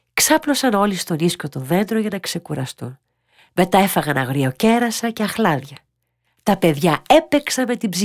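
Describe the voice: Lively intonation in plain reading aloud, over a quiet background.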